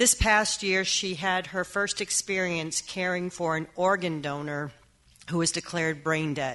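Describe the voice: A woman's fairly low, fairly bright voice at a fairly slow pace, with fairly even intonation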